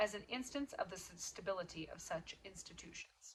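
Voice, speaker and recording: With an American accent, a woman speaks at a moderate pace in a bright, sharp tone. Her pitch swings very widely. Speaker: podcast host. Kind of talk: reading aloud. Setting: at home. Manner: halting, stumbles on words.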